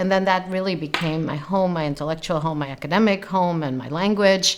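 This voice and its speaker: Over noticeable background noise, a woman speaks fairly quickly in a fairly low voice with ordinary pitch variation. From US Northeast, emigrated from Romania as a young teen. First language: German. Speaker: literature professor. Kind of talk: interview testimony. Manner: reflective, many fillers.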